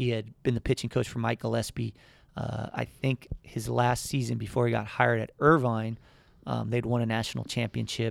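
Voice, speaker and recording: At a moderate pace, a man talks in an American accent. The sound is dry and close, with no echo. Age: 30s. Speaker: college baseball head coach. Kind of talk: casual interview. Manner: halting, many repeated words and fillers.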